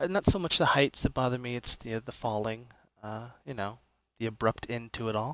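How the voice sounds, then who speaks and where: This man speaks at a fairly quick pace with a medium pitch and ordinary pitch variation. He has an unremarkable speaking voice. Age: 30s. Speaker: mental health worker. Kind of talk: casual chat.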